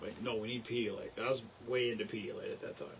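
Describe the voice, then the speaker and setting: A man's voice against noticeable background noise. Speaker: livestream host. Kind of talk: casual chat. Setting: live stream. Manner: fast; animated.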